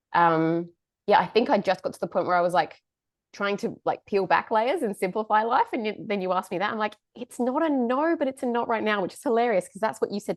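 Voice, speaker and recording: With an Australian accent, a woman at a medium pitch talks at a very fast pace with lively intonation and big swings in loudness, in a dry, close sound with no echo and a quiet background. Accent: Australian-tinged. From England. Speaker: podcast host, nutritionist. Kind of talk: casual chat.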